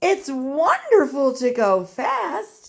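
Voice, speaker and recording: This is a put-on character voice. It sits at a high pitch. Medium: read story.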